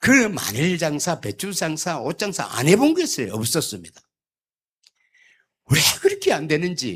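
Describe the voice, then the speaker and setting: A man's fairly high voice carries vocal fry and very wide pitch swings at a fairly slow pace. The recording is very clean, with a silent background. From South Korea, Gyeongsangbuk-do (Yeongcheon). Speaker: church elder. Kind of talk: sermon. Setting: church. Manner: humorous storytelling.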